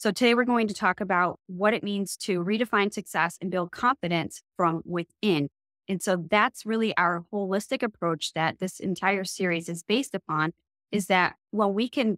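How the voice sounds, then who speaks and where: At a moderate pace, a woman speaks with ordinary pitch variation, her voice dry with no echo over a quiet background. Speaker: business coach, co-host. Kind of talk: podcast monologue. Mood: warm and encouraging. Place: home room.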